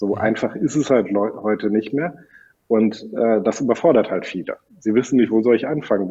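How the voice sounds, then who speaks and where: He talks fairly quickly in a normal speaking voice. The man's medium pitch shows ordinary variation. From Germany, Sauerland. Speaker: software company founder. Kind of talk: interview.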